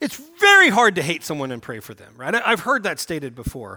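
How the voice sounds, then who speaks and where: A man with an American accent, a raised, projected voice, a bright, sharp tone, very wide pitch swings and a fairly quick pace. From US South, Oklahoma. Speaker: pastor. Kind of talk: sermon.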